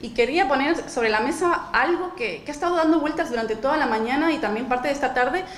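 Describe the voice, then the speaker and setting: Speaking very fast in a high voice with a Spanish accent, a woman uses lively intonation amid noticeable background noise and audible room echo. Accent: Spanish (Spain). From Spain. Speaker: nonprofit director, panel speaker. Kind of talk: panel presentation.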